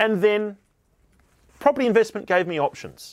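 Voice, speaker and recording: Speaking with an Australian accent, a man keeps a moderate pace and ordinary pitch variation in a very clean recording with a silent background. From Tasmania, Australia. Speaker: podcast host, property investment advisor. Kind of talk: solo podcast monologue.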